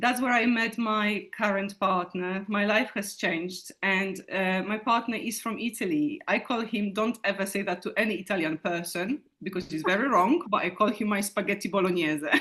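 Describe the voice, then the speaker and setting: A woman at a medium pitch talks in a bright, sharp tone with hardly any pauses. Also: ordinary pitch variation, moderate pace. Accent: Polish. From Poland. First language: Polish. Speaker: teacher. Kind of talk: interview. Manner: halting.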